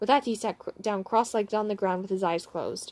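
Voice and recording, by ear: Intonation stays fairly even as the speaker reads aloud in a natural voice.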